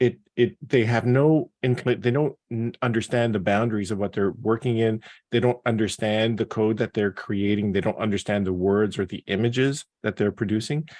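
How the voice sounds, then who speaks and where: A man at medium pitch speaks at a moderate pace with fairly even intonation, the sound dry and close with no echo and the background quiet. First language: not English. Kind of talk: panel discussion. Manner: halting.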